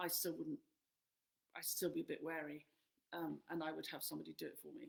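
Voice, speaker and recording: In an English accent, a woman speaks at a very fast pace. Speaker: flower farmer and author. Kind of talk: live Q&A answering questions. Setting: live stream.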